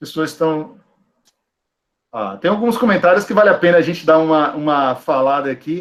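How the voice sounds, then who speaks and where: A man talks in an ordinary speaking voice at a moderate pace, his fairly high pitch showing ordinary pitch variation. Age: 40s. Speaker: teacher and school director. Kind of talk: online lecture.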